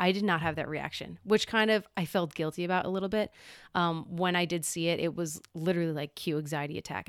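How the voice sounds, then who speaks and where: A woman's fairly low voice at a very fast pace with fairly even intonation, on a very clean recording with a silent background. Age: 20s. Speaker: teacher and mother. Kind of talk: casual chat.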